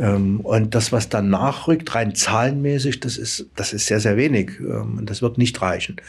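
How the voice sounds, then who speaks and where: A man with a medium pitch talks at a fairly slow pace. He leaves hardly any pauses. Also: ordinary pitch variation. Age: 60s. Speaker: head of a regional aid organisation. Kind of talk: interview. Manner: halting.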